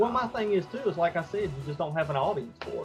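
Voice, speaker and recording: Over music in the background, a man with a Southern US accent talks in a high pitch with lively intonation. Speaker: comic book creator. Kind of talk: interview answer.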